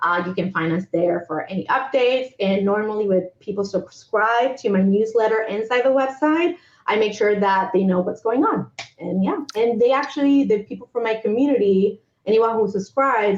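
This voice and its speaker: Speaking at a moderate pace, a woman with a normal speaking voice uses ordinary pitch variation at a fairly high pitch. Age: 40s. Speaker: humanitarian aid worker and entrepreneur. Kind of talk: interview.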